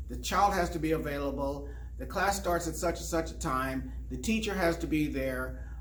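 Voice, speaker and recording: Recorded with audible room echo and noticeable background noise, a man speaks at a fairly quick pace. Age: 60s. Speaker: martial arts instructor. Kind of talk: video message to students. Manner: halting, with fillers and repeats.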